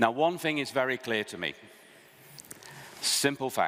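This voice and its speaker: A man with a British accent has a bright, sharp tone. He talks at a fairly slow pace with lively intonation. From Britain. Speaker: think tank speaker. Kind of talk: conference presentation.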